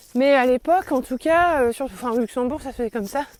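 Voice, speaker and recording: Recorded dry and close with no echo, a woman with a high pitch talks at a fairly quick pace. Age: 40s. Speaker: podcaster and teacher. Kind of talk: personal reflective monologue. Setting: outdoors, walking in forest. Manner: halting, many hesitations.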